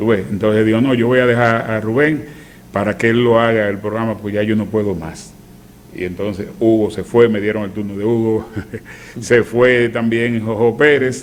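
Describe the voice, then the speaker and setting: A man speaks at a medium pitch with fairly even intonation. Audible room echo surrounds his voice. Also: moderate pace. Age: 60s. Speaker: veteran radio announcer. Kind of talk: casual chat.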